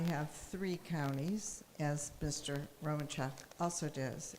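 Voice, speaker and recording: At a very slow pace, a woman speaks with an American accent and fairly even intonation. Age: 80s+. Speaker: political candidate. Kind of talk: candidate forum. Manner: halting.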